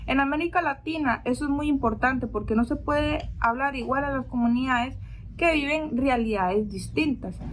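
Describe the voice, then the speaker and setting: A woman with a non-native accent speaks in a high pitch. Her pace is moderate and her pitch varies in an ordinary way. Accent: non-native Spanish speaker. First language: not Spanish (speaking Spanish). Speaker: theology student. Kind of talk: reading aloud a prepared reflection. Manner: formal.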